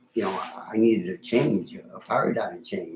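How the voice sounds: A man's fairly low voice, husky and rough-edged, at a fairly slow pace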